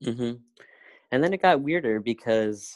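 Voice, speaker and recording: On a very clean recording with a silent background and a dry, close sound with no echo, a man with a western US accent talks at a moderate pace with very wide pitch swings. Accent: American, western. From US West, Colorado (Grand Junction). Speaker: interview guest, coaching client. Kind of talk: casual interview. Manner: halting.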